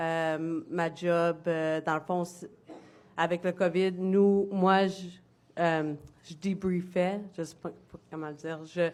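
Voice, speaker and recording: A woman speaks very slowly in a fairly low, flat, monotone voice with a slight English accent. The recording is very clean, with a silent background. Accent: slight English-speaking accent in French. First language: English (speaking French). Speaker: former military member testifying. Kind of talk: testimony. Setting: public hearing before a commission. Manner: halting.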